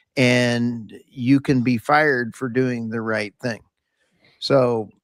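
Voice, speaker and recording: With an American accent, a man speaks very slowly at a medium pitch in a monotone, flat intonation. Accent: Tex Okie. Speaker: podcast co-host. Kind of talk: round table discussion.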